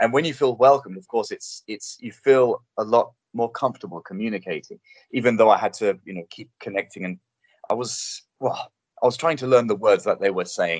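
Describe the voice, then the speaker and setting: With a London accent, a man speaks in big swings of loudness over a dry, close sound with no echo. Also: medium pitch for a man, lively intonation, fairly quick pace. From England, North London. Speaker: TV presenter. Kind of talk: casual interview.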